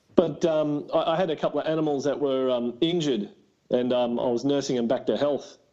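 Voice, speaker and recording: A man with an Australian accent, fairly high pitch and a moderate pace. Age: 20s. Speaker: reptile breeder and tradesman. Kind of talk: casual chat.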